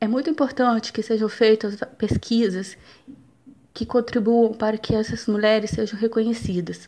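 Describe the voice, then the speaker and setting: A woman with a plain, everyday voice, fairly high pitch, fairly even intonation, moderate pace. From Brazil, Minas Gerais (Juiz de Fora). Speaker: university student. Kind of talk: student presentation, scripted narration.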